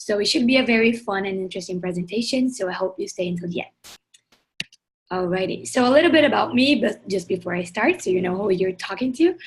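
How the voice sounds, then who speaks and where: Very fast and somewhat breathy, a woman speaks at a medium pitch with lively intonation. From southern Brazil, Porto Alegre. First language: Portuguese. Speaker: climate activist, project founder. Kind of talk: webinar presentation.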